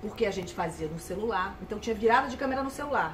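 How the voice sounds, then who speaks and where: Over noticeable background noise, a woman with a fairly high pitch talks very fast with ordinary pitch variation. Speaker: sports journalist and broadcaster. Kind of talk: interview answer.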